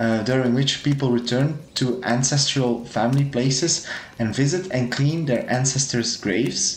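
A man talks at a moderate pace and a medium pitch, with ordinary pitch variation, audible room echo and noticeable background noise. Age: 20s. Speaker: podcast host. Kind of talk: casual chat.

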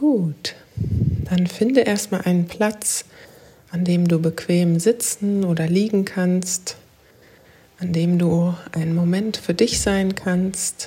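A woman's medium-pitched, gentle, calm voice at a very slow pace, with fairly even intonation and long, frequent pauses. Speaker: podcast host and life coach. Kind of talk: guided meditation. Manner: slow, calm, soothing; gentle, meditative, with long pauses.

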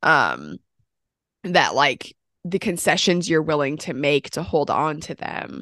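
Very slow and very deep in pitch, a woman speaks with vocal fry and a bright, sharp tone, the sound dry and close with no echo over a quiet background. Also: lively intonation. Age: 30s. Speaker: film podcast co-host. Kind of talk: casual chat. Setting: home recording, separate room.

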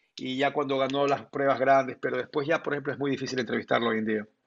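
The voice belongs to a man. He delivers everything in a flat monotone. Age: 50s. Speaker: sports journalist. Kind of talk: interview.

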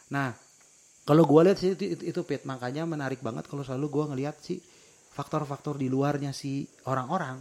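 Fairly high in pitch, a man talks at a very fast pace. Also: fairly even intonation. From West Java, Indonesia. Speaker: podcast co-host. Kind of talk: casual chat.

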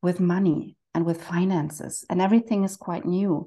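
Against a quiet background, a woman with a German accent speaks in a fairly low pitch, with a dark, mellow tone and fairly even intonation. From Germany. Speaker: financial coach, therapist. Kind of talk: casual interview conversation.

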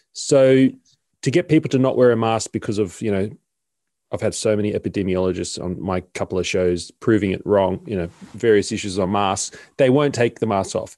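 In a very clean recording with a silent background, a man with an Australian accent speaks at a fairly quick pace, his fairly low pitch showing ordinary variation. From Sydney, Australia. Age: 30s. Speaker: podcast host. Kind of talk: interview.

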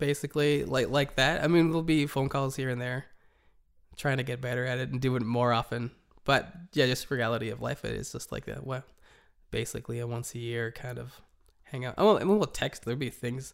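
A man in an unremarkable speaking voice talks at a fairly quick pace, with medium pitch and fairly even intonation. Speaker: podcast co-host, church worker. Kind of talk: casual conversational podcast chat.

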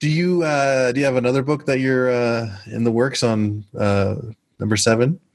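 A man with an American accent speaks at medium pitch and a moderate pace, in an unremarkable speaking voice. His pitch varies in an ordinary way and his loudness stays very even. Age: 40s. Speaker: podcast host. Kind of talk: interview.

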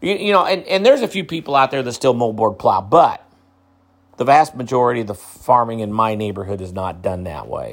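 A man with a Midwestern US accent talks at a fairly quick pace in a medium pitch, with very wide pitch swings and big swings in loudness. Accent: US Midwest. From central Illinois. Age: 60s. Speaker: agriculture podcaster. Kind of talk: solo commentary podcast. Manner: halting, many repetitions.

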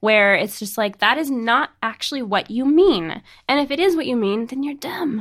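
A woman's high-pitched voice with lively intonation on a very clean recording with a silent background. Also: moderate pace. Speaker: design podcast host. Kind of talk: casual chat. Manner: joking, chatty.

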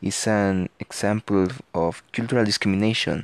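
Recorded with a dry, close sound with no echo against a quiet background, a man with a Mexican accent speaks at a fairly low pitch and a moderate pace. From Mexico. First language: Spanish. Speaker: podcaster. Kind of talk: student presentation. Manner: halting.

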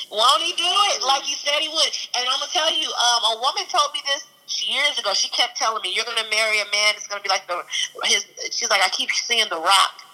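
Over noticeable background noise, a woman's raised, projected, high-pitched voice moves at a fairly quick pace with very wide pitch swings. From East St. Louis, Illinois (US Midwest). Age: 30s. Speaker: preacher and event promoter. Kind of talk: testimony. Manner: halting, many fillers.

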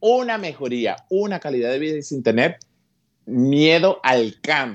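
Against a quiet background, a man with a fairly high pitch speaks in an animated tone with lively intonation. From Venezuela, Petare (Caracas). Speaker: comedian. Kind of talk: interview.

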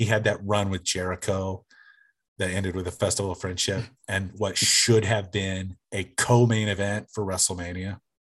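Against a quiet background, a man with an American accent speaks in a monotone, flat intonation. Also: fairly low pitch for a man, moderate pace. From small-town Oklahoma. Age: 40s. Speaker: sports fan. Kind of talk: casual chat.

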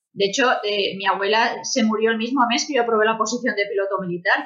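Speaking at a very fast pace, a woman uses a fairly high pitch. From Spain, small village. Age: 30s. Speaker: military pilot and comic author. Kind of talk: panel discussion.

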